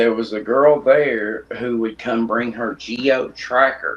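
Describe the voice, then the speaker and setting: A man talks very slowly while noticeable noise runs in the background. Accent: Tennessee. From East Tennessee, Blount County near Knoxville. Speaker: custom shoe artist. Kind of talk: casual chat. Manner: mumbling.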